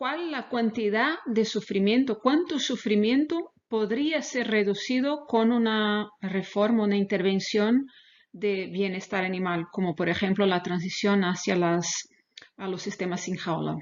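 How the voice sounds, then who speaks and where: With a Portuguese accent, a woman speaks at a fairly slow pace and a medium pitch. Her intonation is lively. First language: Portuguese (speaking Spanish). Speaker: animal welfare researcher. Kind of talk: lecture. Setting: webinar video call. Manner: halting.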